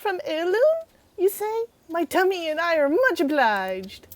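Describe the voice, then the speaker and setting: A squeaky, put-on character voice moves at a moderate pace with very wide pitch swings, recorded dry and close with no echo. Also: woman, extremely high pitch for a woman. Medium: game stream. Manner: mock-grandiose.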